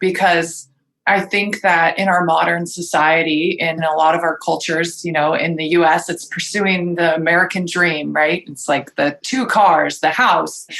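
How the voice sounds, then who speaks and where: Here is a woman with an ordinary speaking voice, fairly low in pitch, at a moderate pace. Her intonation is fairly even, and she leaves hardly any pauses. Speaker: podcast host. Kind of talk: interview question.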